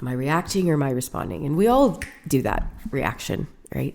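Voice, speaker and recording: In a Canadian accent, a woman talks at a fairly quick pace with a very deep, low pitch, vocal fry and lively intonation. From Canada, Winnipeg. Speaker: business owner. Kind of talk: interview conversation. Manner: fast; talkative.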